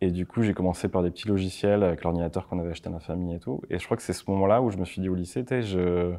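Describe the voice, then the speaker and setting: Against a quiet background, a man talks at a very fast pace with hardly any pauses, a very deep, low pitch, a dark, mellow tone, and fairly even intonation. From France, Landes (Mont-de-Marsan); Landes, France. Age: 30s. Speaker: motion designer and production company owner; interview guest. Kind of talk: interview; interview answer. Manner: casual, halting. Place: studio.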